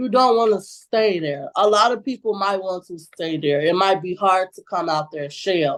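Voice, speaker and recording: A woman talks at a moderate pace with hardly any pauses and a medium pitch. Her intonation is lively and her loudness swings widely. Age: 20s. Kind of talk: interview answer. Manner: outspoken.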